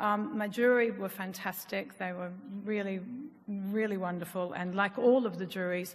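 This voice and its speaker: In a room with audible echo, a woman talks at a moderate pace and medium pitch with fairly even intonation. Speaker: jury president, restaurateur. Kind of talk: award ceremony speech. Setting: stage with audience. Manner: hesitant.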